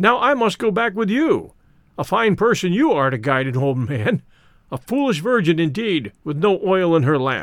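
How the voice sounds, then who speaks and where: In a put-on character voice, a man speaks at a high pitch and a moderate pace, his pitch swinging very widely. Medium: read story. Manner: cheerful, hearty.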